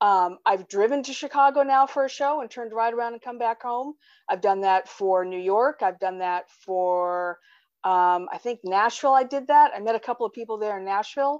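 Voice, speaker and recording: Against a quiet background, a woman speaks at a moderate pace in a fairly high pitch. Hers is an unremarkable speaking voice with ordinary pitch variation. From California. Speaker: fan at a conference. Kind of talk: casual chat.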